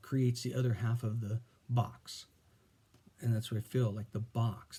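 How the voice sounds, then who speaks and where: A man speaks at a medium pitch, fairly slowly and somewhat breathily. His tone is dark and mellow, with fairly even intonation. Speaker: vlogger. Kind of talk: casual monologue. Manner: halting.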